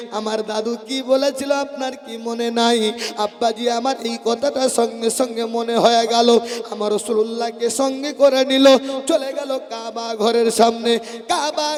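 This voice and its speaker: Over background music, a man talks in an extremely high pitch with monotone, flat intonation. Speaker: Islamic preacher. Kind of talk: sermon.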